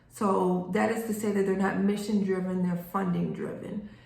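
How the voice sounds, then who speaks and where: A woman's voice with audible room echo. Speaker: grant writing instructor. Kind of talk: tutorial. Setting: recorded video reading notes. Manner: casual, with many fillers.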